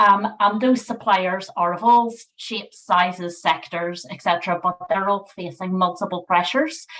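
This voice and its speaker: With a Northern Irish accent, a woman speaks in a medium pitch at a moderate pace with hardly any pauses. Her loudness swings widely while her pitch varies in an ordinary way. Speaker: NHS sustainability manager. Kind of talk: webinar presentation.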